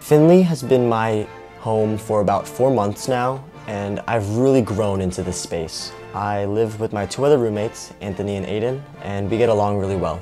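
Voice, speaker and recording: Faint music plays behind a man speaking at a moderate pace. His fairly low voice shows ordinary pitch variation. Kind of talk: casual vlog chat. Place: home room. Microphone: lapel.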